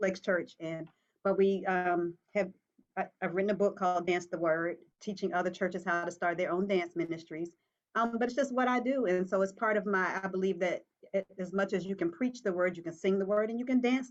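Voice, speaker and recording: A woman with an unremarkable speaking voice, medium pitch, ordinary pitch variation and a fairly quick pace. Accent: American. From Virginia. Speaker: dance minister and pastoral counselor. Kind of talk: talk show interview.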